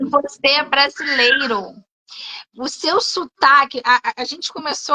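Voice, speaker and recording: At a fairly slow pace, a woman with a high pitch uses a raised, projected voice and lively intonation, recorded with a dry, close sound and no echo. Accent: Rio de Janeiro. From Rio de Janeiro, Brazil. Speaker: English teacher. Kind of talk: live interview chat. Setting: online live stream.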